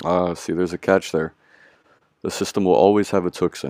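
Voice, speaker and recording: Recorded very cleanly against a silent background, dry and close with no echo, a man with an American accent speaks very deep and low with vocal fry and ordinary pitch variation. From US West Coast, San Francisco Bay Area. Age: 20s. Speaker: law student. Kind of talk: interview, personal story.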